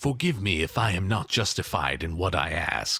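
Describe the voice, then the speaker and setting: Using a put-on character voice, a man growls in a very deep, low pitch at a moderate pace. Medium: read story.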